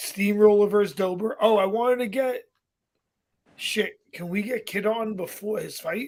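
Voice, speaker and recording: The speaker talks at a moderate pace in a Brooklyn accent. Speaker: podcast co-host. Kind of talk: casual chat.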